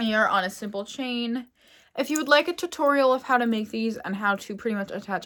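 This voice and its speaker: A woman's fairly high-pitched voice at a moderate pace, with ordinary pitch variation and a Pennsylvania accent. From Pennsylvania, US. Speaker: fashion content creator. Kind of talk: casual vlog talk. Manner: chatty, rambling.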